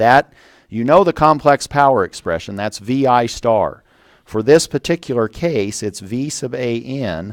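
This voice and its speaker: A man's medium-pitched voice, fairly slow and lively in intonation, dry and close with no echo, on a very clean recording with a silent background. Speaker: university engineering professor. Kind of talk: lecture.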